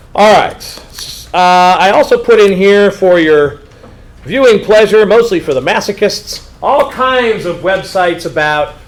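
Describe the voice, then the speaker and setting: Noticeable background noise sits behind a man speaking at a moderate pace. His pitch is high, with ordinary variation. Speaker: high school history teacher. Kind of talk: informational meeting talk to students. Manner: casual, animated.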